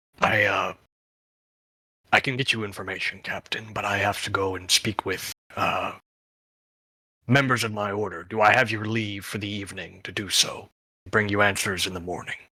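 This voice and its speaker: Putting on a raspy character voice with a fairly low pitch, a man speaks at a moderate pace with long, frequent pauses. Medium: actual play. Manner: deferential, addresses the captain formally.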